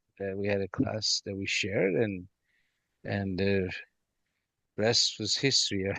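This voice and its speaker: Fairly low in pitch, a man speaks with a Persian accent. The sound is dry and close, with no echo. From Iran. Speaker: rug company founder. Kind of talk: interview answer.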